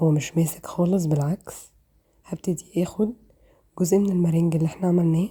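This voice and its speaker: The voice is somewhat breathy, with a dark, mellow tone, fairly even intonation and an Egyptian accent. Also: woman, fairly low pitch for a woman, moderate pace, very even loudness. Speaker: cooking channel host. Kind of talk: cooking tutorial. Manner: casual and chatty.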